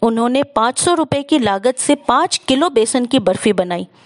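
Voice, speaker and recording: A woman's high voice with very wide pitch swings, dry and close with no echo, over noticeable background noise. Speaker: storyteller. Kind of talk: inspirational story narration.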